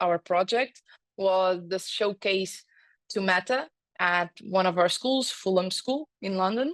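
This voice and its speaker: Against a quiet background, a woman speaks at a medium pitch with ordinary pitch variation, the sound dry and close with no echo. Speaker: edtech lead at school group. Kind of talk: online guest talk. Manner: halting, many fillers.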